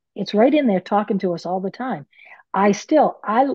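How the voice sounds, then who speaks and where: Lively intonation marks a woman's medium-pitched voice with an American accent. She speaks at a moderate pace. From US Northeast, Maine. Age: 60s. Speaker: author and medium. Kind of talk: podcast interview. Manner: animated.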